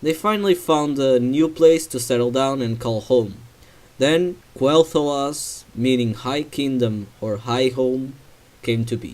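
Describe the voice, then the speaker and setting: A man's medium-pitched voice at a very slow pace. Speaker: game lore narrator. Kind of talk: game lore narration.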